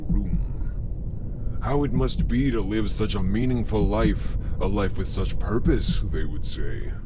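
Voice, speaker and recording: Through loud background noise, a man performs a put-on character voice with a very deep, low pitch. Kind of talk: horror narration. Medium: read story. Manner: slow, brooding.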